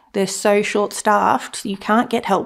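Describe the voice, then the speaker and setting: Woman at a medium pitch and a moderate pace. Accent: Australian. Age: 20s. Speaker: student sharing experience of sleep disorders. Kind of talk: personal testimony interview. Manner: hesitant, many fillers.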